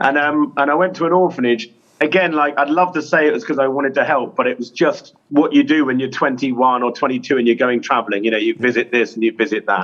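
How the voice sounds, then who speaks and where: A man with a fairly high pitch rushes along at a very fast pace with hardly any pauses and ordinary pitch variation. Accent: English. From England. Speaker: clown and children's charity founder. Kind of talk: interview. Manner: animated.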